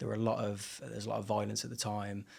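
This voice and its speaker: A man speaks in a Brummie accent at a fairly low pitch. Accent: Birmingham (Brummie), toned down. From Birmingham, England (Erdington). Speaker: singer and rapper. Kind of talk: interview testimony. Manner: halting, many fillers.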